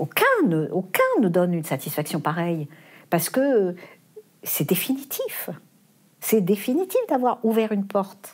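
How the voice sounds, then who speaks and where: Using lively intonation, a woman of medium pitch talks at a fairly slow pace with long, frequent pauses. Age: 60s. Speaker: philosophy teacher and foundation head. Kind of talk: interview.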